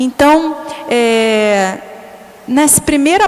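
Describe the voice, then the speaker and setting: Noticeable background noise sits behind a woman whose high-pitched voice carries lively intonation. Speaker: catechist. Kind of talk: bible study talk. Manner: halting.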